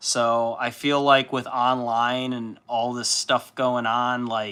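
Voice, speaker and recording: In an American accent, a man speaks loud and very slowly at medium pitch, monotone and flat, with a bright, sharp tone on a very clean recording with a silent background. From Chicago suburbs, US Midwest. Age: 30s. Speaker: livestreamer, miniature painter. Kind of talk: casual livestream chat.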